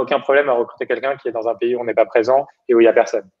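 A man is speaking. His pitch is medium. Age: 30s. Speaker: startup founder and CEO. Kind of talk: interview.

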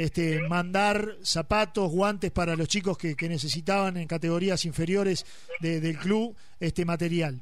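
This man's voice is high-pitched. His intonation stays fairly even. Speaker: radio sports host. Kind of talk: radio interview. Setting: radio studio.

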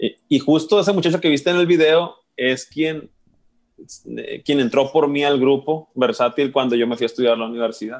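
Here is a man with a plain, everyday voice at a fairly high pitch. He speaks at a moderate pace with ordinary pitch variation. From Mexico, Sinaloa (Guamúchil). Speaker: musician. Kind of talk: casual interview chat.

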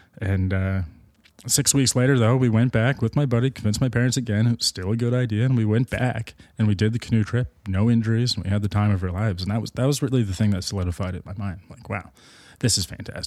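Talking very fast in an Ontario accent, a man uses a medium pitch with ordinary pitch variation on a very clean recording with a silent background. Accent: Ontario Canadian. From Markham, Ontario (Toronto suburbs). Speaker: adventurer and expedition leader. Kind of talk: casual chat. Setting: indoors at his home beside a fireplace.

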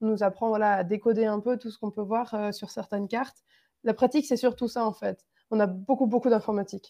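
Speaking at a fairly quick pace, a woman with a fairly high pitch and a dark, mellow tone keeps her intonation fairly even. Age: 20s. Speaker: engineering student. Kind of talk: interview. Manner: hesitant, many fillers.

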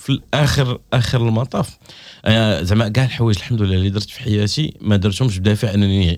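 Over a silent background on a very clean recording, a normal speaking voice moves at a moderate pace with ordinary pitch variation. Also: man, fairly low pitch for a man. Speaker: comedian. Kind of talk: casual chat.

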